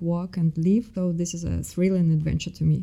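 A woman speaks with a Russian accent in a fairly low pitch. Her tone is dark and mellow, with fairly even intonation. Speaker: MBA student.

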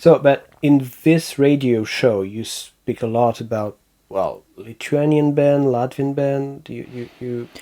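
In a French accent, a man speaks very slowly with a dark, mellow tone, fairly even intonation and big swings in loudness. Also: medium pitch for a man. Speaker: podcast host and sound tutorial maker. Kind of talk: casual interview chat.

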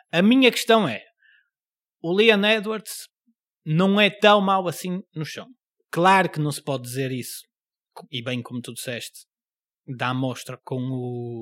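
A man with a European Portuguese accent and a fairly high pitch talks at a fairly slow pace, with very wide pitch swings, big swings in loudness and long, frequent pauses, in a very clean recording with a silent background. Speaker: podcast host and stand-up comedian. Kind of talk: casual chat.

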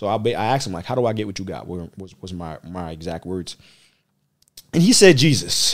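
On a very clean recording with a silent background, a man talks at a fairly quick pace and fairly low pitch, with lively intonation and big swings in loudness. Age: 30s. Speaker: churchgoer telling his faith story. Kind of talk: testimony. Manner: halting.

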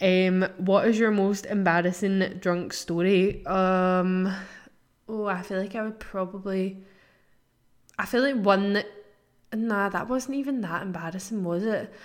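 Her pace is fairly slow and her intonation fairly even. The woman speaks at medium pitch. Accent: Scottish. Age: 20s. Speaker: podcast host. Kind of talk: casual chat. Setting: at home.

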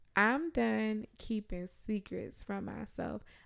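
Recorded very cleanly against a silent background, a woman speaks in an American accent with an animated tone. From Richmond, Virginia, US South. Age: 20s. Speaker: podcast co-host. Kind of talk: casual chat.

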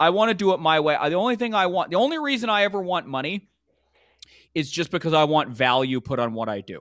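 In a Canadian accent, a man talks very fast at a high pitch with very wide pitch swings. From Canada, Vancouver. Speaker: stand-up comedian. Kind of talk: casual interview chat.

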